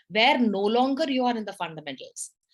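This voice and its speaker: A woman speaks loudly and animatedly at a high pitch and a moderate pace. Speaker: public speaking club leader. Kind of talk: educational talk. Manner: loud, animated.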